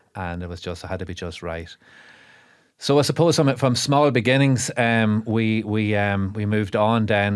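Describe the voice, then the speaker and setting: The speaker is a man with an Irish accent. He keeps a moderate tempo. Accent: Monaghan Irish. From Ireland, south Monaghan. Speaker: brewer and dairy farmer. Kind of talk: podcast interview. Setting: studio. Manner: hesitant, many fillers and repeats.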